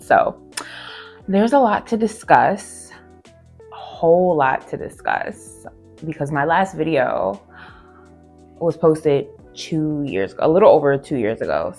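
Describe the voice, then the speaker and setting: A woman speaks at a fairly slow pace, with long, frequent pauses. Music plays behind her. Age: 30s. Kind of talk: casual talk to camera. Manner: upbeat.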